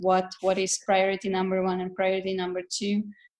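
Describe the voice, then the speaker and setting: A woman's medium-pitched voice with a Hungarian accent. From Hungary. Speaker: dancer and architect. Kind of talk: casual chat. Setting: video call.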